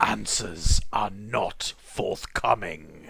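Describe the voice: A man puts on a booming, raspy character voice pitched fairly low.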